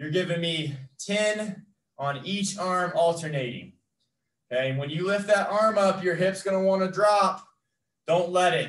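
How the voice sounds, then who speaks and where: Audible room echo surrounds a man whose voice sits high for a man, moving at a fairly slow pace with ordinary pitch variation. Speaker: fitness trainer. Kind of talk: workout instruction. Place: gym. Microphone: camera far.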